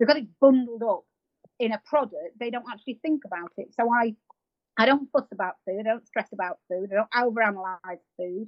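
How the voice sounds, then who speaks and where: A woman speaks at a fairly quick pace. Her pitch is fairly high and varies in an ordinary way. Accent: English. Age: 50s. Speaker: marathon runner and animal sanctuary owner. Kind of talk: interview.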